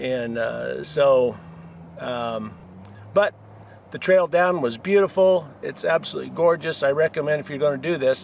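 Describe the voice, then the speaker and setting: Pitch moves with ordinary variation. The speech keeps a moderate pace. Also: man. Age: 60s. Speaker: hiker. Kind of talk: casual monologue giving advice. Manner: hesitant, many fillers.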